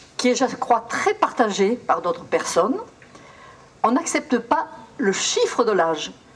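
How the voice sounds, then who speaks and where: At a very slow pace, a woman speaks with very wide pitch swings over noticeable background noise. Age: 80s+. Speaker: traditional singer. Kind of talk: speech to audience.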